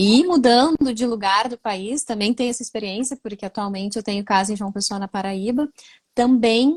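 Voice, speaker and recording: A woman's fairly high-pitched, somewhat breathy, sing-song voice with a strong southern Brazilian accent, ordinary pitch variation, and a moderate pace, in a dry, close sound with no echo. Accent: gaúcho accent, strong. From Rio Grande do Sul, Brazil. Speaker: writer and live host. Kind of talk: online book launch conversation. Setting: livestream. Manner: sing-song intonation.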